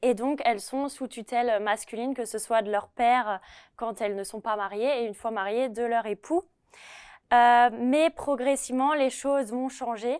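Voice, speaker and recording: Fairly even intonation and a fairly slow pace come across over a quiet background. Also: woman, high pitch for a woman. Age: 20s. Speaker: history PhD student; guest. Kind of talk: lecture. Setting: retirement residence with residents present. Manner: hesitant, many filler sounds. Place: studio. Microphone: lapel.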